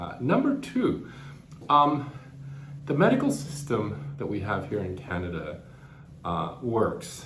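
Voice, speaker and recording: A man's fairly slow speech carries audible room echo, with noticeable background noise behind it. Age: 50s. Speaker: cancer patient vlogger. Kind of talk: personal reflection vlog. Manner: halting, with frequent repetitions and fillers.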